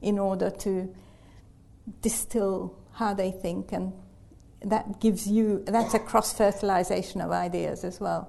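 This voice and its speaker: A woman speaks at medium pitch with a dark, mellow tone and vocal fry. Her pace is fairly slow and her intonation is flat and monotone. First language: not English. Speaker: human geneticist. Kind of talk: panel discussion. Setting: live event with audience.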